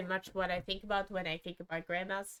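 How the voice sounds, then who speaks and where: A woman is speaking. She has a non-native accent. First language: not English. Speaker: gaming streamer. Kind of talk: casual commentary over a speed build. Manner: halting, many fillers and self-corrections.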